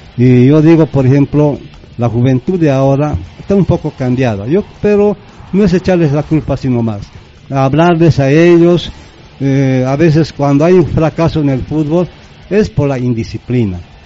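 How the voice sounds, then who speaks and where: Noticeable background noise runs under the speech. The intonation is lively and the pace moderate. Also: man, fairly high pitch for a man. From Bolivia, Yungas of La Paz (Chulumani). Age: 60s. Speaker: former football organiser. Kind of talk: radio interview. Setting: radio studio.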